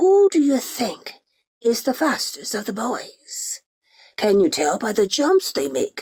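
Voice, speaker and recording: In a put-on character voice, raspy and fairly high in pitch, the speaker moves at a fairly slow pace with very wide pitch swings. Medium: read story.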